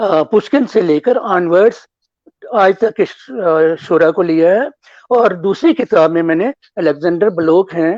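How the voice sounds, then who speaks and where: High-pitched, a man speaks with ordinary pitch variation. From Jammu, Udhampur. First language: Dogri (speaking Hindi). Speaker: author and former broadcaster. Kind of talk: interview. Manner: formal; halting.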